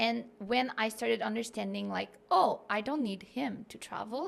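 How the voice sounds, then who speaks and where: A woman speaks with a Quebec accent. Her pace is moderate. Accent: Québécois French accent in English. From Quebec City, Canada. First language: French. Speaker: content creator and digital nomad. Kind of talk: podcast interview. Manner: casual, filler-heavy.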